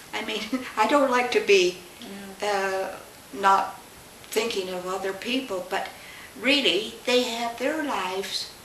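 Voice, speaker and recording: A woman talks at a very slow pace while noticeable background noise carries on. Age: 80s+. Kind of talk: interview answer.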